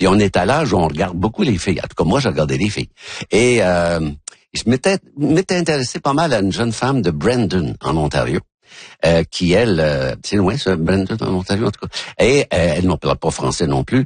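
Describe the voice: Talking at a fairly quick pace, a man with a low pitch and a slightly husky edge makes big pitch swings.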